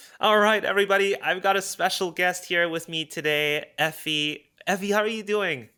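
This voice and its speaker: An excited man with a raised, projected voice, high in pitch and bright and sharp in tone, at a moderate pace on a very clean recording with a silent background. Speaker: podcast host. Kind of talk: interview.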